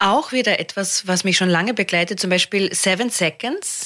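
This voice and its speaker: A woman's bright, sharp voice with ordinary pitch variation. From Austria. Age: 50s. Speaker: comedian. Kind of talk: casual chat.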